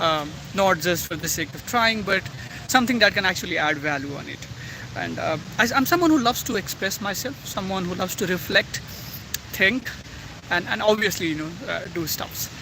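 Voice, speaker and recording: A raised, projected voice comes through noticeable background noise at a moderate pace with ordinary pitch variation. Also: man. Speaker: YouTuber. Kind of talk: personal reflection vlog. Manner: halting, many fillers and self-corrections.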